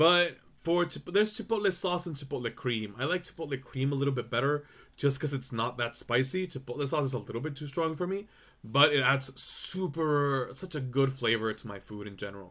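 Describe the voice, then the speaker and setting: Loud and at a fairly quick pace, a man with fairly high pitch speaks in a bright, sharp tone with lively intonation. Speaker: vtuber streamer. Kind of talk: casual chat.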